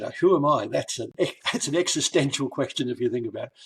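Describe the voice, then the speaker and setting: A man with a New Zealand accent, talking at a very fast pace. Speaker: author and learning consultant. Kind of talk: interview podcast. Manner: halting, with many fillers.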